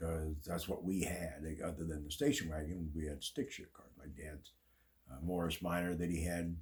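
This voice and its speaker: At a moderate pace, a man with a very deep, low pitch speaks somewhat breathily, with fairly even intonation and big swings in loudness. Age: 70s. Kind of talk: casual talk to camera.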